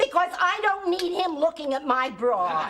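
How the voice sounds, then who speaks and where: A woman's put-on character voice at an extremely high pitch and moderate pace, over clear background noise. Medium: short film. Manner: shrill, complaining.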